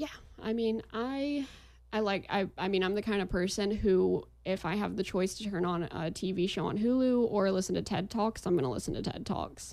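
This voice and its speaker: A woman's delivery in an unremarkable speaking voice: medium pitch, ordinary pitch variation, moderate pace. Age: 20s. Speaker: marketing agency owner. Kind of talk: casual chat.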